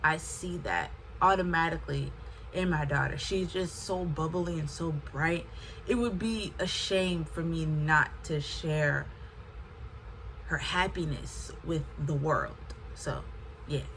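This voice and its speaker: Speaking very slowly with long, frequent pauses, a woman with an American accent is heard over noticeable background noise and audible room echo. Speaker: lifestyle vlogger. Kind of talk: casual talk to camera.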